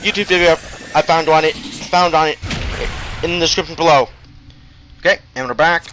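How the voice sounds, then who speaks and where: Moderate pace against noticeable background noise. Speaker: gaming youtuber. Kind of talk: gameplay commentary. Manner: stuttering; casual.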